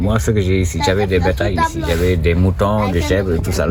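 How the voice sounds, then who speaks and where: Very deep, low male voice at a fairly quick pace, with audible room echo and noticeable background noise. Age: 60s. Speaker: local shopkeeper. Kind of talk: interview.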